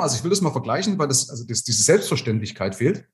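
This man's voice is somewhat breathy. His intonation rises and falls in a lively way. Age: 50s. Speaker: financial advisor. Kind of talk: casual interview.

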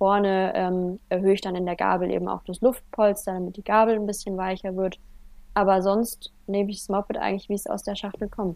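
Her voice is medium in pitch and flat, monotone in intonation. The woman talks at a fairly quick pace. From Germany, Franconia (Heideck, Bavaria). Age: 20s. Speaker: motorcycle trial rider and student. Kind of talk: casual interview.

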